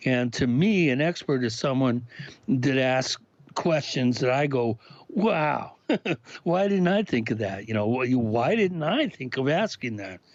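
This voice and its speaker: A man talks at a fairly slow pace, his medium-pitched voice carrying lively intonation. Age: 60s. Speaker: paranormal researcher and author. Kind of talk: casual chat. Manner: halting, many fillers and restarts.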